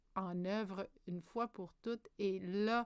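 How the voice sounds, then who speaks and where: Very slow speech from a woman with fairly even intonation. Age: 50s. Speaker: spiritual wellness vlogger. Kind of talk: personal monologue. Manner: hesitant, many filler sounds.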